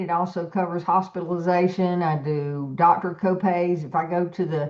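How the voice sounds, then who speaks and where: A woman talks at a fairly slow pace. Hers is an unremarkable speaking voice with a fairly low pitch. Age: 60s. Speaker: business team leader. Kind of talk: team meeting presentation.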